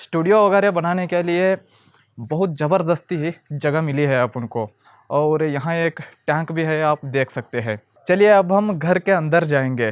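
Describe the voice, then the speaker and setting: This man speaks with a non-native accent. His pitch is fairly high. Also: ordinary pitch variation. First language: not Hindi (speaking Hindi). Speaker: filmmaker and video editing teacher. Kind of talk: casual home and studio tour vlog.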